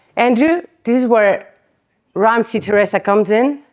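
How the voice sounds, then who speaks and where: At a fairly slow pace, a woman with a Spanish accent speaks at a fairly high pitch. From Spain. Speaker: chiropractic conference speaker. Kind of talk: conference talk. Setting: stage with audience. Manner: animated.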